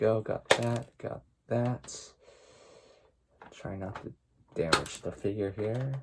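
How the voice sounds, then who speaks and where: A man speaks at a very slow pace with long, frequent pauses. His voice is somewhat breathy and swings widely in loudness. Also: medium pitch for a man. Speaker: toy unboxing youtuber. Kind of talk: unboxing tutorial. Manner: unenthusiastic, low-energy; hesitant, many fillers.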